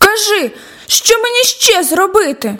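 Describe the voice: A woman uses a put-on character voice at an extremely high pitch, her tone bright and sharp. She moves at a fairly slow pace with big pitch swings.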